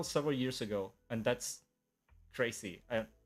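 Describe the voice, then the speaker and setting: With music in the background, a man speaks at medium pitch and a moderate pace. He has a slight non-native accent and ordinary pitch variation. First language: Spanish. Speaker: animator. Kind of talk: live stream talk. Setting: live stream from home. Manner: halting, many fillers.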